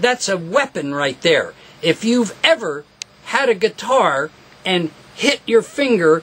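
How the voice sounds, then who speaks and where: Noticeable background noise sits behind a man's voice. He speaks in a high pitch at a fairly slow pace. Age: 70s. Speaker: guitar repair technician and teacher. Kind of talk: tutorial. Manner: animated.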